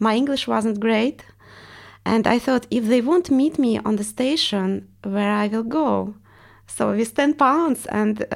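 A woman with a Russian accent speaks at a very slow pace and a fairly high pitch, with ordinary pitch variation, in a very clean recording over a silent background. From Estonia (ethnic Russian). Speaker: artist and art teacher. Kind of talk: interview.

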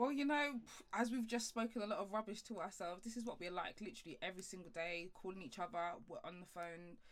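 A woman talks at a fast pace with few pauses. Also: medium pitch for a woman, ordinary pitch variation.

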